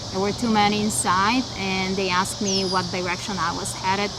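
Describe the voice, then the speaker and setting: A woman at a moderate pace, amid audible room echo and noticeable background noise. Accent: Bulgarian. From Bulgaria (Sofia). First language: Bulgarian. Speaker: mentor. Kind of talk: personal storytelling.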